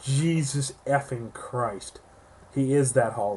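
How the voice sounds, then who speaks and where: Somewhat breathy, this man's voice sits fairly high and shows ordinary pitch variation. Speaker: toy reviewer. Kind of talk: product review. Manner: casual, animated.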